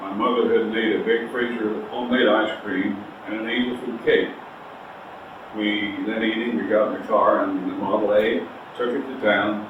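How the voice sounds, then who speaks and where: A man talks at a moderate pace. Audible room echo and noticeable background noise fill the recording. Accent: American. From US Midwest, Missouri. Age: 80s+. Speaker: interviewee. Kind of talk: oral history interview. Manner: halting, many fillers.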